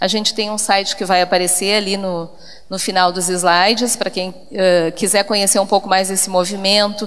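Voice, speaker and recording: A woman in a southern Brazilian accent at a moderate pace, with noticeable background noise. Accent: gaúcho accent, noticeable. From southern Brazil, Porto Alegre (Rio Grande do Sul). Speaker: education professor. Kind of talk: conference talk.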